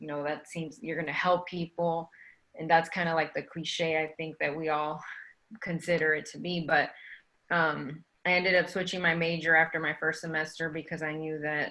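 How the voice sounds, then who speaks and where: With an American accent, a woman speaks at a moderate pace in a fairly low pitch, her intonation monotone and flat and her tone bright and sharp. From Texas, Dallas. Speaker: physician. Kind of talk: panel talk.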